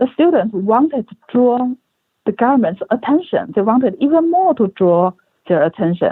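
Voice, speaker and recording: A woman talks at a fairly slow pace in a high pitch. Her pitch swings very widely. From China. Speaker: author. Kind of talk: interview answer.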